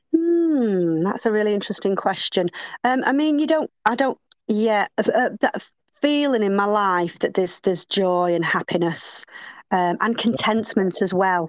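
A woman with an unremarkable speaking voice and fairly high pitch talks at a moderate pace and very even loudness, the sound dry and close with no echo over a quiet background. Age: 50s. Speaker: fitness and yoga instructor. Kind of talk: casual chat.

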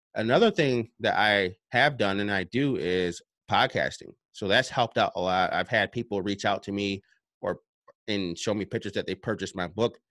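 In a very clean recording with a silent background and a dry, close sound with no echo, a man with an American accent speaks at a moderate pace and a fairly low pitch, with ordinary pitch variation, in an unremarkable speaking voice. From upstate New York. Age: 30s. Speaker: self-published author and personal development coach. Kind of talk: interview. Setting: home basement.

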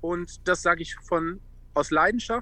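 The voice has a bright, sharp tone and a fairly slow pace. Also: man. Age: 40s. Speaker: former footballer and charity founder. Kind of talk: casual chat.

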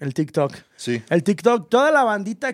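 A man with a high pitch at a moderate pace, in a very clean recording with a silent background. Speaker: podcast host. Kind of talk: casual chat.

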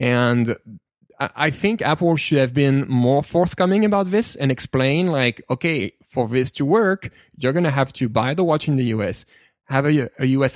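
A man speaks at a medium pitch with a French accent and lively intonation. The sound is dry and close, with no echo. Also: very clean recording, silent background. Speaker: tech podcast co-host. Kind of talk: casual chat. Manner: halting, many repeated words.

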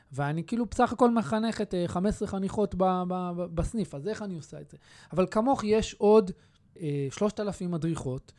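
A man's high voice rises and falls with lively intonation in a very clean recording against a silent background. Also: big swings in loudness. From Israel. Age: 30s. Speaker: youth movement secretary-general. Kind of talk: interview. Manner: halting, many repetitions and fillers.

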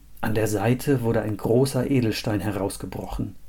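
A man speaks at medium pitch and a moderate pace, his voice somewhat breathy with a dark, mellow tone. His delivery has a dramatic, solemn tone and fairly even intonation. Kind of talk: fairy tale storytelling, read aloud as a scripted tale. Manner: measured, dramatic storyteller's pace with a solemn, old-fashioned tone.

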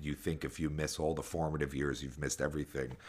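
A man's very deep, low voice with vocal fry. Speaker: podcast host. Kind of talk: casual chat. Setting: remote call. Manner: loud.

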